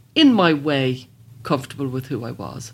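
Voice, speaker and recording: A moderate pace in a Dublin accent. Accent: Dublin Irish. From Ireland, Dublin (Blanchardstown). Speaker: psychotherapist and author. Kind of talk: interview.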